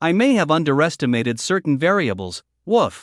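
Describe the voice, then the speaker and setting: Putting on a growling character voice, a man talks at a fairly quick pace with a fairly high pitch. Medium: cartoon. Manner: dry, deadpan.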